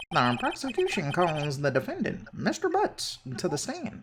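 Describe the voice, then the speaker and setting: A man performs a put-on character voice at a high pitch. He speaks at a moderate pace. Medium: fan dub.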